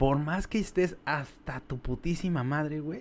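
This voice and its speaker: Speaking in a Mexico City accent, a man with a fairly high pitch talks at a fairly slow pace with ordinary pitch variation. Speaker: podcast guest. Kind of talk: casual chat.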